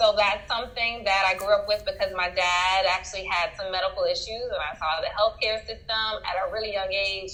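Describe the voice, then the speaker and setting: A woman with a Louisiana accent. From Louisiana, Baton Rouge. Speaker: doctor and author. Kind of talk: interview.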